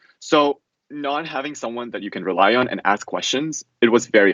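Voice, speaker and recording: This is a man speaking at medium pitch. He talks with a Russian accent. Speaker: college student. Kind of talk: casual interview.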